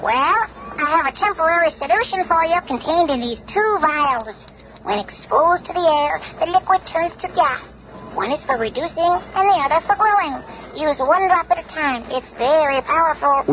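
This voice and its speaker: A put-on character voice moves at a moderate pace over clear music in the background. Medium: old radio play. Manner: calm, measured.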